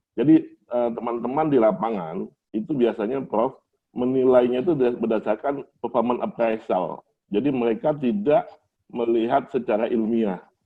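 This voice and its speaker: A man with a Palembang accent and ordinary pitch variation. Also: medium pitch for a man, moderate pace. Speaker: doctoral candidate and engineering manager. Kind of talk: doctoral thesis defense. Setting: open doctoral examination with audience. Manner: formal.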